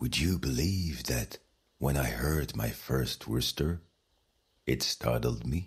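A man's very deep, low voice with a gentle, warm tone and vocal fry, very even loudness, ordinary pitch variation, a very slow pace and long, frequent pauses. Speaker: bedtime story narrator. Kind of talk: bedtime story, guided sleep meditation with scripted narration. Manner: soft, slow, soothing, calm and hushed; gentle, warm, dreamy storytelling.

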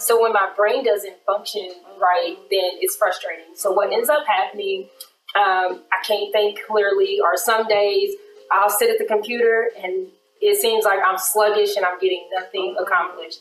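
A woman's voice at a moderate pace, very even in loudness and fairly even in intonation, with audible room echo and light background noise. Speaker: attorney. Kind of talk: personal testimony in casual interview. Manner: open, candid and conversational. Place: studio.

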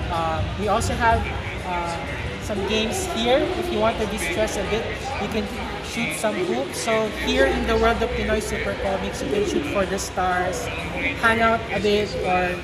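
Clear music plays behind a woman who talks at a fairly slow pace. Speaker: presenter. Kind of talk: product presentation to vlogger. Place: hall. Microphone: phone near.

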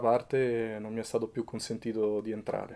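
A man's medium-pitched voice with a dark, mellow tone and a Roman accent. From Rome, Italy; Italy. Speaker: photojournalist and documentary maker; photojournalist recounting his reporting. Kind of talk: interview. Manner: halting, with fillers. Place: home room.

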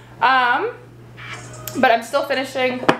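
A woman's high voice at a fairly slow pace, with light background noise and audible room echo. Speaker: fitness vlogger. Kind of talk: casual vlog chat. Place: kitchen. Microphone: camera far.

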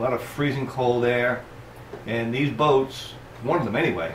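Light background noise sits under the voice, with audible echo from the room. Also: man. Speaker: boating channel host. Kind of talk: tutorial. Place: workshop. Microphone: camera far.

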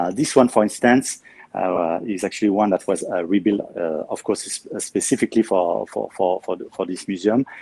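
With a French accent, a man speaks at a moderate pace with hardly any pauses, his fairly low voice dark and mellow. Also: ordinary pitch variation. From Normandy, France (Caen); Normandy, France. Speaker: museum guide. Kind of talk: guided tour. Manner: talkative. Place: hall. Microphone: phone near.

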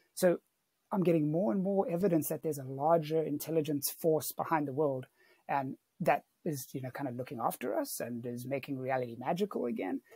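Over a quiet background, a somewhat breathy voice with a dark, mellow tone and a dry sound with no echo speaks at a fairly quick pace with ordinary pitch variation. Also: man, fairly high pitch for a man. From South Africa. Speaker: mental health worker; podcast guest. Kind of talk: podcast interview answer. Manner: casual. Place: home room. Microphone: earbuds.

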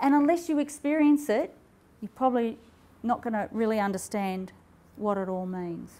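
A dark, mellow tone with lively intonation comes at a moderate pace in an Australian accent, broken by long, frequent pauses. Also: woman. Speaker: health and wellness speaker. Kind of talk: talk to live audience. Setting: stage with audience. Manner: animated. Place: hall.

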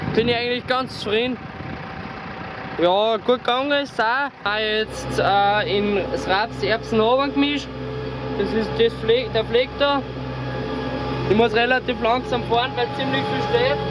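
There is noticeable background noise. The sound is dry with no echo. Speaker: farmer. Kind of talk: casual farm vlog commentary. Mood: relaxed, content. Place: farm machine. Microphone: phone near.

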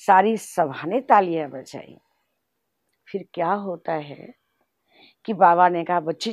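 Her fairly low-pitched voice moves very slowly, with lively intonation. The woman is heard in a dry sound with no echo against a quiet background. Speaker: spiritual teacher and regional head of a spiritual organisation; spiritual teacher. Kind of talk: spiritual testimony. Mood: calm, devotional storytelling. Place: home room.

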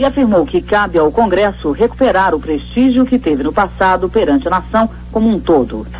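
Noticeable background noise sits behind a man speaking at a fairly quick pace. His loudness stays very even. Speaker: radio news announcer. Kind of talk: radio news bulletin read.

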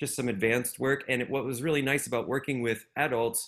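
Against a quiet background, a man talks with fairly even intonation. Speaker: music education meetup co-host. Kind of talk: online group meetup hosting. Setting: video call. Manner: halting, many filler words. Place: home room.

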